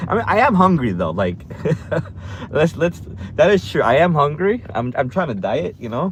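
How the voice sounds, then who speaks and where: A man speaks with long, frequent pauses and very wide pitch swings. His pitch is fairly high, and noticeable background noise runs underneath. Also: moderate pace. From United States (moved from Korea at age two). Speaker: vlogger and delivery driver. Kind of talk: casual vlog chat.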